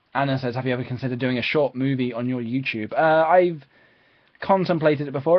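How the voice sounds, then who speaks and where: A man with an East of England accent at a very fast pace. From England, Peterborough. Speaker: YouTuber live streamer. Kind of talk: live stream Q&A. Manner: hesitant, many fillers.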